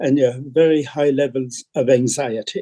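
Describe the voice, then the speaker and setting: A man talks in an Irish accent with a dark, mellow tone. The sound is dry and close, with no echo. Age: 70s. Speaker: priest. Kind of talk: panel discussion. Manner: halting.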